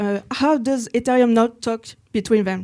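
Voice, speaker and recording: A woman with a French accent speaks at a fairly high pitch and a fairly slow pace. Her intonation is fairly even, on a very clean recording with a silent background. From France. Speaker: software engineer, workshop presenter. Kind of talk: technical workshop presentation. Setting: conference room with live audience. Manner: hesitant with many fillers.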